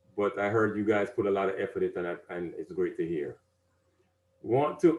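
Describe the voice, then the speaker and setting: A man speaks in a Caribbean accent. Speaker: civic advisor and speaker. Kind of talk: presentation to an audience.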